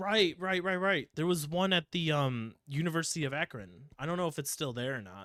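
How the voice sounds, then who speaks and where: In a Midwestern accent, a man talks at a fairly quick pace and fairly high pitch with hardly any pauses, lively intonation and a bright, sharp tone, all in a dry, close sound with no echo. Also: very clean recording, silent background. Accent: Midwest. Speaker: podcast host. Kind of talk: casual chat.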